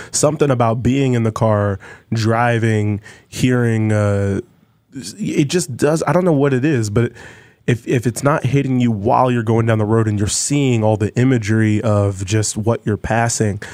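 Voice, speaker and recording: This is an ordinary speaking voice, showing ordinary pitch variation and moving at a moderate pace. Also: man, medium pitch for a man. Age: 30s. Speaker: folk musician. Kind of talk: casual chat.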